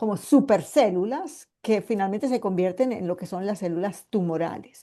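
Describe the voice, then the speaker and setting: Against a quiet background, a woman in a paisa accent speaks at a moderate pace, with a dark, mellow tone, medium pitch and lively intonation. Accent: paisa (Medellín). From Colombia, Medellín. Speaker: medical geneticist, cancer survivor. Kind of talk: online lecture. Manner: hesitant, many fillers.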